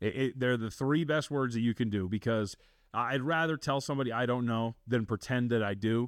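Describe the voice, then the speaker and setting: A man with an American accent speaks at a fairly quick pace in a medium pitch, with ordinary pitch variation, very even loudness and a normal speaking voice. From Las Vegas, Nevada. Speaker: sports betting analyst. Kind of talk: casual interview.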